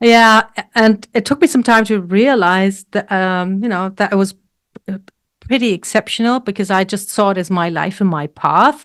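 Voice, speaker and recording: A woman with a German accent at a medium pitch and moderate pace, with ordinary pitch variation and a dry, close sound without echo. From Germany. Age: 60s. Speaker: health coach and weightlifter. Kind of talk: interview.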